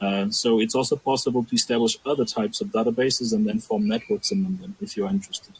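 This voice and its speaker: A somewhat breathy man at medium pitch, very fast with hardly any pauses and very wide pitch swings, in a dry, close sound with no echo. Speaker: archaeological scientist presenting a database. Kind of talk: academic discussion.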